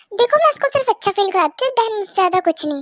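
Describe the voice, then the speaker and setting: A woman's put-on character voice, squeaky and extremely high-pitched, racing at a very fast pace with very wide pitch swings and a dry, close sound with no echo. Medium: solo performance. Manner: breezy, cheeky.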